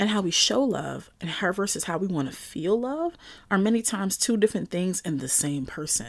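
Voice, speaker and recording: With an animated tone and very wide pitch swings, a woman speaks at a moderate pace on a very clean recording with a silent background. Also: medium pitch for a woman. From Brooklyn, New York. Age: 40s. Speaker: podcast host, chef and writer. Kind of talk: casual solo monologue.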